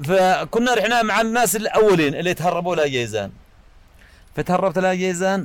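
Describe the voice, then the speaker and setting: This man has a high-pitched voice with ordinary pitch variation and speaks at a moderate pace. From Yemen, Yafa highlands. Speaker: tyre repair shop owner. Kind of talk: personal life story. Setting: his workshop. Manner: halting.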